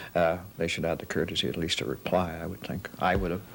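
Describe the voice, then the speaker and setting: A man with a very deep, low pitch rushes along at a very fast pace with vocal fry. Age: 60s. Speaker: frequent air traveller. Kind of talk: news interview. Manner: halting.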